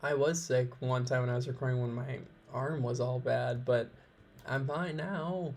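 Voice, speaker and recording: A man's somewhat breathy voice at a medium pitch, fairly slow, with ordinary pitch variation. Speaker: let's play gamer. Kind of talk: game playthrough commentary. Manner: casual, reading game text aloud.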